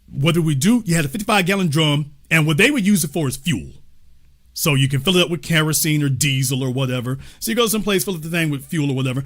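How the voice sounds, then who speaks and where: A man's fairly high voice at a very fast pace, animated in tone, with ordinary pitch variation. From US South, Shreveport, Louisiana. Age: 50s. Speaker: talk show host. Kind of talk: casual chat.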